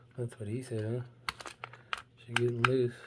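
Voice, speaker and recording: Noticeable background noise under fairly slow delivery. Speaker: diecast collector. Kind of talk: unboxing video. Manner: casual, conversational.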